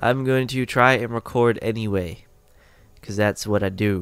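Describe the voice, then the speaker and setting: A man speaks at a very slow pace. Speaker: gaming youtuber. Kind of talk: let's play commentary. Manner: casual, hesitant with fillers.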